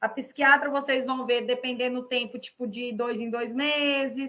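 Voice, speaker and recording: Speaking at a fairly slow pace, a woman with a high pitch and a bright, sharp tone keeps a monotone, flat intonation. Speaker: psychologist. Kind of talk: interview.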